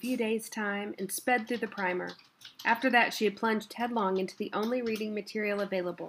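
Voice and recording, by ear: The text is read aloud in a natural voice.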